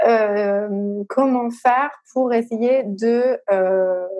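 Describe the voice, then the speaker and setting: A woman speaks in a fairly high voice with a dark, mellow tone and ordinary pitch variation. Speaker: podcast host. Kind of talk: casual interview. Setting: recording from home. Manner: hesitant, many fillers.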